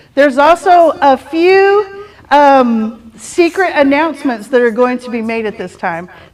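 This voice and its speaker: A woman with a Texas accent at a high pitch, with very wide pitch swings and a very slow pace, over noticeable background noise. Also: big swings in loudness. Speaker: real estate team leader. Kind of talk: team meeting announcements.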